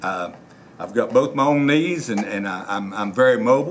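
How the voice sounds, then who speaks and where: With lively intonation and an American accent, a man speaks at a medium pitch over noticeable background noise. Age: 60s. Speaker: sheriff candidate, retired law enforcement officer. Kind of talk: interview. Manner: halting, many fillers.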